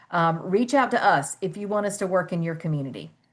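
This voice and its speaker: At a moderate pace over a quiet background, an unremarkable speaking voice carries ordinary pitch variation. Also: woman. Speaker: webinar moderator. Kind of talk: webinar wrap-up.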